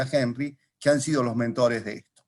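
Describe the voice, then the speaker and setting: Talking at a moderate pace, the man keeps his intonation fairly even. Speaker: philately lecturer. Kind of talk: lecture. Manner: soft-spoken, calm.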